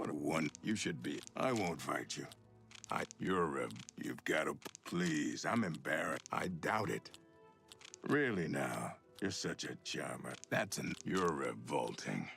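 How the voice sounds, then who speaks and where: Putting on a character voice, a man speaks at a fairly slow pace in a very deep, low pitch with a raspy edge, while clear music plays in the background. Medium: video game. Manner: nervous, petty.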